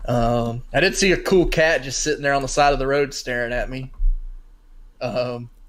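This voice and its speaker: Speaking in a Southern US accent at a moderate pace, a man uses a fairly high pitch with ordinary pitch variation. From North Carolina, US South. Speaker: sports podcast co-host. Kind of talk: casual chat. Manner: rambling, halting with fillers.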